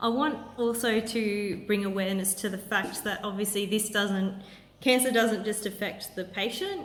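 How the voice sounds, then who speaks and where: A woman with an Australian accent, medium pitch and fairly even intonation, at a moderate pace, with audible room echo. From Australia, Sydney. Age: 30s. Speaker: cancer patient vlogger. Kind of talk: Q&A video monologue.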